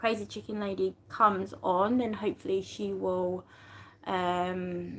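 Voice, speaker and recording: The speaker has a British accent and talks at a very slow pace. The recording is very clean with a silent background. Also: woman. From UK. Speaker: YouTube livestreamer. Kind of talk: casual livestream chat. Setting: live stream. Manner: halting, many fillers and restarts.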